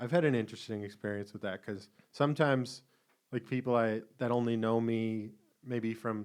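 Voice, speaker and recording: Here a man talks at a moderate pace with a slight Boston accent. His intonation is fairly even. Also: medium pitch for a man. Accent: slight Boston accent, rarely noticed. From Boston area. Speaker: podcast co-host. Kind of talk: casual chat.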